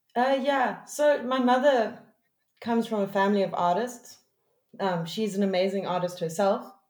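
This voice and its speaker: A woman speaks at a moderate pace in a fairly high voice with ordinary pitch variation. Audible room echo surrounds her. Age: 30s. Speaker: music producer. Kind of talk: casual chat.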